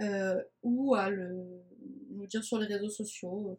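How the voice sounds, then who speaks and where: Fairly even intonation carries a somewhat breathy voice. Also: woman. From France, Nice. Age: 20s. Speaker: communication agency founder, podcast host. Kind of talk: casual podcast monologue. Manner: talkative.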